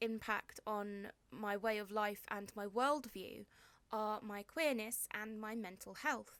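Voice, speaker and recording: In a southern English accent, a woman speaks with a fairly high pitch. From southern England, Hampshire. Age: 20s. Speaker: poet. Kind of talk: poetry reading; casual introduction. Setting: home bedroom, video recording.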